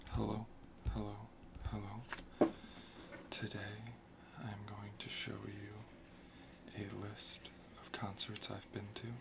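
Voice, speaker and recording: The speaker is soft-spoken and talks at a very slow pace, with long, frequent pauses. Background noise is noticeable. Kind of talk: ASMR soft-spoken talk.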